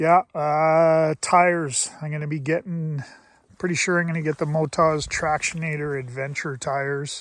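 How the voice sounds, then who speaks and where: In a normal speaking voice, a man with a Canadian accent talks at a moderate pace with a fairly high pitch and fairly even intonation. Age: 60s. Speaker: motorcycle vlogger. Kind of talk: casual vlog monologue. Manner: relaxed, conversational with fillers.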